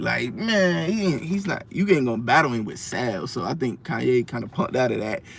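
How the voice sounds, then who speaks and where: This man talks with lively intonation. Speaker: music reviewer. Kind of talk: casual album review vlog. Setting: in a car. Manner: fast.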